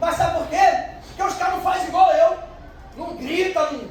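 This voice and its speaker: A man speaks loudly at an extremely high pitch. Audible room echo and noticeable background noise surround him. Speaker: pastor. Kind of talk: sermon.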